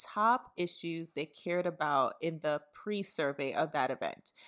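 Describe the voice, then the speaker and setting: In an American accent, a woman talks at a fairly slow pace in an ordinary speaking voice, fairly low in pitch, on a very clean recording with a silent background. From New York City (Brooklyn). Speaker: podcast host, housing campaign manager. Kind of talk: interview podcast.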